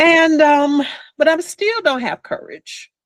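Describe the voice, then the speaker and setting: A woman speaks at a fairly slow pace in an animated tone. The sound is dry and close, with no echo. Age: 60s. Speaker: hypnotherapist. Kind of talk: interview testimony.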